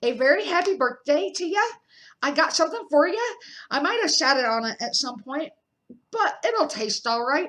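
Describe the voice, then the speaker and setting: Using a put-on character voice, a woman speaks at a high pitch and a moderate pace. She leaves long, frequent pauses. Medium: read story. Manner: gruff, informal.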